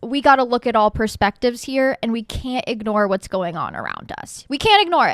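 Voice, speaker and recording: Animated in tone, a woman speaks at a fairly high pitch and a moderate pace. The recording is very clean and silent behind her, close and dry with no echo. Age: 20s. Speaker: podcast host. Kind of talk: casual chat.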